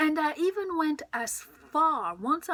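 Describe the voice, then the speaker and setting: A woman's high-pitched voice with a French accent and a bright, sharp tone. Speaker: YouTuber sharing personal experience. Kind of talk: personal testimony vlog. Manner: halting, hesitant.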